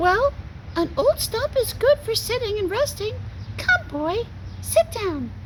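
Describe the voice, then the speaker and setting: An extremely high, squeaky put-on character voice with a gentle, warm tone, a fairly slow pace, long and frequent pauses, and clear background noise. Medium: read story.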